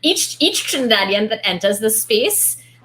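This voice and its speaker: This is a woman with a medium-pitched voice. There is noticeable noise in the background. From Trinidad and Tobago. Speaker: book club host. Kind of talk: casual group discussion. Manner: animated.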